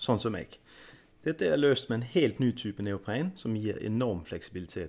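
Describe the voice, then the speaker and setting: An ordinary speaking voice from a man of fairly low pitch, with lively intonation and a moderate pace. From Denmark, Kalundborg. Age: 30s. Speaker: freediver and product reviewer. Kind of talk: product review.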